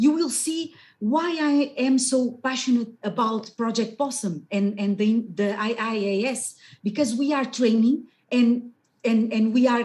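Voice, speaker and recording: A woman with a Portuguese accent, high-pitched, with ordinary pitch variation and a fairly slow pace. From Portugal. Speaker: geoscience researcher and scientist astronaut candidate. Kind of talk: webinar presentation. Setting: video call. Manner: loud.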